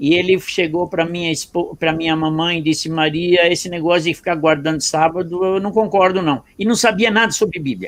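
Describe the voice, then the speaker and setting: Here a man talks in a high voice with fairly even intonation. His pace is moderate, with hardly any pauses. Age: 70s. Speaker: pastor. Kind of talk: testimony.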